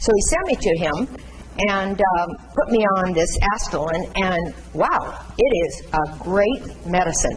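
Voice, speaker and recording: Speech moves at a very slow pace. Noticeable background noise and audible room echo are present. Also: woman. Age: 70s. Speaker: patient speaker on chronic illness. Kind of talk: talk to nursing students. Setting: classroom with student audience. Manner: halting.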